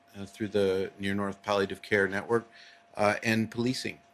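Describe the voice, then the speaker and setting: Here is a man speaking. He has a Canadian accent. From Eastern Ontario, Canada. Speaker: police officer. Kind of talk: public speech. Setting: event hall with live audience. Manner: unprepared, with many hesitations.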